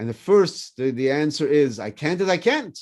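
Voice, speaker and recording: A man's fairly high voice in a French accent, fairly quick and with lively intonation, over a quiet background. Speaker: rabbi. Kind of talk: casual chat.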